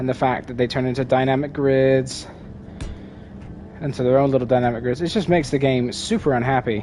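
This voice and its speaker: A man speaks at a fairly quick pace in a medium pitch, with long, frequent pauses and fairly even intonation. Noticeable background noise is heard. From Britain. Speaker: video game streamer. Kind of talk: live gameplay commentary. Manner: casual, meandering with fillers.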